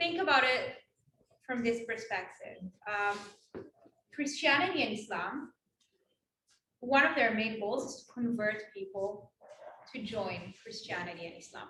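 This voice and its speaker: Speaking with an Israeli accent, a woman with a bright, sharp tone and fairly high pitch talks at a fairly slow pace, with lively intonation, big swings in loudness, and long, frequent pauses. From Israel, West Bank settlement. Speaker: Israel advocate and speaker. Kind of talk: campus talk Q&A.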